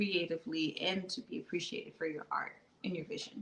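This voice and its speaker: A woman with an American accent speaks in a plain, everyday voice, her fairly low pitch showing ordinary variation. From Baltimore, US. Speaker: fashion designer and filmmaker. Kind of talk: interview.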